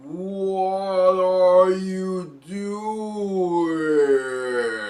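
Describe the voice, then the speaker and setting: This is a put-on character voice at a middle pitch. An echo can be heard. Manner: dark, ominous.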